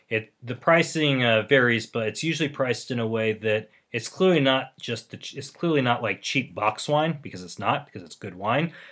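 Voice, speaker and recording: A man with an American accent speaks in an ordinary speaking voice at a moderate pace, with ordinary pitch variation, on a very clean recording with a silent background. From Los Angeles, US. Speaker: podcast co-host. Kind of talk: casual chat.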